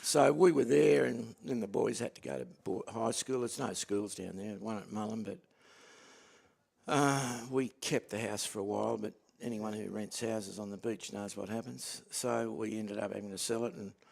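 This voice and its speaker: A man speaks with an Australian accent at a moderate pace. His pitch is fairly low and his intonation lively. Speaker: cricket commentator. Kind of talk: casual chat.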